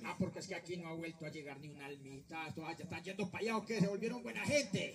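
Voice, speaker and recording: A man does a put-on character voice at a high pitch, talking very fast. Clear background noise can be heard. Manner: casual, slangy, laid-back.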